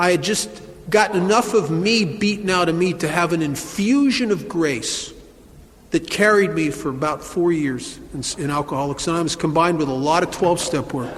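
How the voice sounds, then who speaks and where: A man speaks at a moderate pace with a high pitch. Noticeable background noise runs behind him. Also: lively intonation. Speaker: recovering alcoholic, AA speaker. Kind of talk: recovery talk at a meeting. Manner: humorous storytelling.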